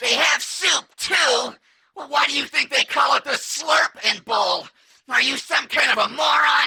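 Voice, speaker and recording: A man puts on a character voice at an extremely high pitch. He talks at a moderate pace. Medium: audio drama. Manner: precise, literal.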